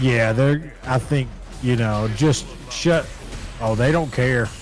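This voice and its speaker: With a strong Southern US accent, a man speaks at a medium pitch with fairly even intonation, very even loudness and long, frequent pauses while music plays in the background. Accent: thick southern. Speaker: esports commentator. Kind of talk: live commentary. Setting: home.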